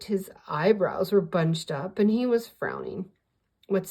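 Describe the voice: The text is read aloud plainly with ordinary pitch variation. Behind it, the background stays quiet.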